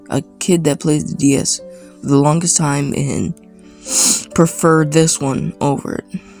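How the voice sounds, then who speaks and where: Music plays in the background. The speech comes at a very slow pace. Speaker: gaming YouTuber. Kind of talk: casual gaming talk to camera. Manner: hesitant, many fillers.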